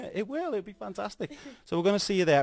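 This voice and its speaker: A man talks very fast in a strong Scouse accent. His pitch swings very widely. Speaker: radio presenter. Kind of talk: radio interview. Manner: animated.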